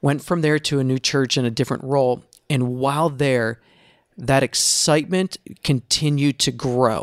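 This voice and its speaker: A man with a fairly high pitch and an ordinary speaking voice talks at a moderate pace with very even loudness and fairly even intonation, on a very clean recording with a silent background and a dry, close sound with no echo. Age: 40s. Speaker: former church planter and pastor. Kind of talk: casual chat.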